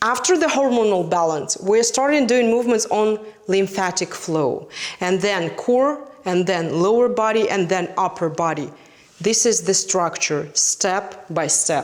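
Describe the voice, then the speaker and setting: A woman at medium pitch with a non-native accent, lively intonation and very even loudness at a fairly slow pace, amid noticeable background noise. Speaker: fitness instructor. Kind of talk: direct-to-camera talk, promotional.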